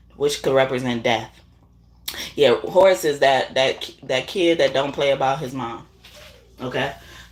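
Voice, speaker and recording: A woman speaks in a very deep, low pitch. Long, frequent pauses break up her speech amid noticeable background noise. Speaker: tarot reader. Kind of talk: casual chat. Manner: halting.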